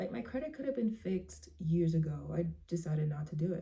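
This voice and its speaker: With a dark, mellow tone, a woman speaks somewhat breathily with ordinary pitch variation. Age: 20s. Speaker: vlogger. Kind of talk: casual monologue.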